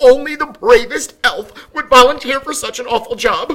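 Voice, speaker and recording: This is a put-on character voice pitched high. The pace is moderate. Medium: read story. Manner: fretful, fussy.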